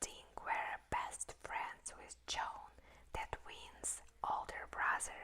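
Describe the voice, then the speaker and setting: The speaker whispers. The pace is very slow. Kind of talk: whispered book reading. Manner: whispered, soft, slow.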